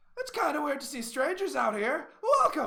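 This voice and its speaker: Using a put-on character voice, a man projects loudly at an extremely high pitch. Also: moderate pace. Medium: actual play. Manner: hearty, bold.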